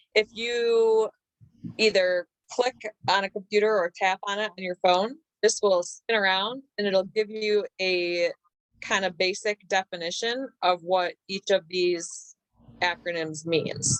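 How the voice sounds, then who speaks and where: A woman with an unremarkable speaking voice talks fairly slowly at a medium pitch with fairly even intonation, the sound dry and close with no echo. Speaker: network marketing team leader. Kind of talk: online training session.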